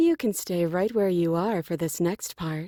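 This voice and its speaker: A woman puts on a character voice with a fairly low pitch, fairly even intonation and a moderate pace, in a dry, close sound with no echo on a very clean recording with a silent background. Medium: video game. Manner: cold, commanding.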